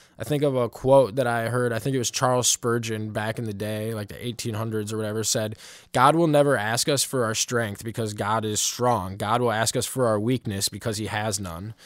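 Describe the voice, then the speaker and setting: Talking at a fairly quick pace with hardly any pauses, a man with an American accent uses a plain, everyday voice at a medium pitch with fairly even intonation, on a very clean recording with a silent background. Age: 20s. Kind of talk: devotional talk. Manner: casual.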